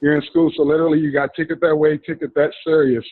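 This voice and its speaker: A man with a fairly high pitch, talking at a fairly quick pace. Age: 40s. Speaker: trading course student. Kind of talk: motivational speech. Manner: animated.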